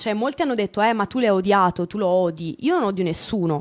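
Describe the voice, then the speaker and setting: A woman at a very fast pace with lively intonation. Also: quiet background. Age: 20s. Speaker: streamer. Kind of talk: casual chat. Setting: video call. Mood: calm but firm, explaining. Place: home room. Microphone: studio mic.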